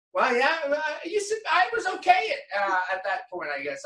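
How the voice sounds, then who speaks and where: In a raised, projected voice, a man with a Southern US accent swings his pitch very widely. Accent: Southern US drawl. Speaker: professional golfer. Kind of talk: interview answer. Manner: casual, humorous.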